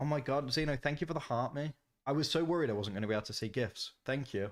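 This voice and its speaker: Talking at a very fast pace, a man with a Birmingham accent uses ordinary pitch variation. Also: medium pitch for a man. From Birmingham, England. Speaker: gaming streamer. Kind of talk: live stream gameplay commentary. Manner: animated.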